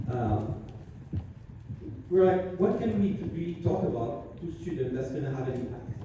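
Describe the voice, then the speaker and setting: Noticeable background noise and audible room echo surround a man's fairly high voice. He uses lively intonation with long, frequent pauses. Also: moderate pace. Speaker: semiconductor product marketing executive. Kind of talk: conference presentation.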